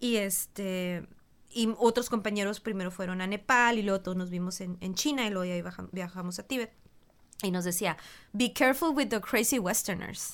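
In an unremarkable speaking voice, a woman talks at a moderate pace with a medium pitch and ordinary pitch variation, on a very clean recording with a silent background. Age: 40s. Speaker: meditation teacher. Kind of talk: casual chat.

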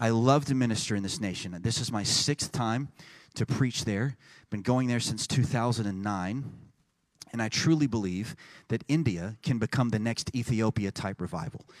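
A man's medium-pitched voice in an American accent, with ordinary pitch variation at a moderate pace. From Texas. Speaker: pastor. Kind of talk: sermon. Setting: church. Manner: animated.

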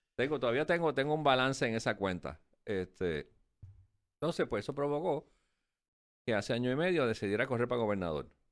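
On a very clean recording with a silent background, a man with a Puerto Rican accent speaks at a fairly quick pace and medium pitch, taking long, frequent pauses. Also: lively intonation. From Puerto Rico. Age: 60s. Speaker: former finance secretary. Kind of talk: interview.

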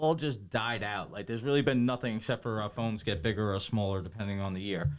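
A man with a plain, everyday voice, fairly quick, with ordinary pitch variation. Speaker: podcast co-host. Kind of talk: casual chat.

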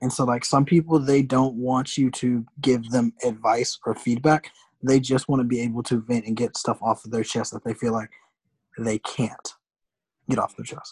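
A man with an American accent speaks in a plain, everyday voice at medium pitch, keeping a moderate pace and fairly even intonation in a dry, close sound with no echo. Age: 20s. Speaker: podcast co-host. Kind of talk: casual chat.

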